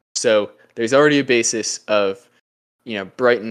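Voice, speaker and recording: Against a quiet background, a man with an ordinary speaking voice talks at a fairly slow pace, medium pitch and ordinary pitch variation. The sound is dry and close with no echo. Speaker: podcast host. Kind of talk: casual podcast chat.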